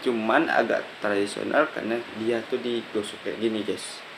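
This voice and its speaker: Against noticeable background noise, a man speaks at medium pitch and a fairly slow pace. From Kapuas Hulu, West Kalimantan, Indonesia. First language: local regional language (speaking Indonesian). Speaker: student. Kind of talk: casual video presentation. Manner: halting.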